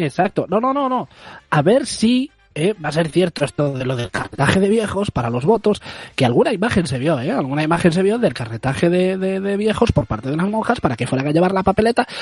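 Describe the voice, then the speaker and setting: A man with a high pitch talks at a fairly quick pace, his voice making very wide pitch swings. The sound is dry and close with no echo, though noticeable background noise is present. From Galicia. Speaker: community radio host. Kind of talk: comedic casual chat. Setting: remote from home.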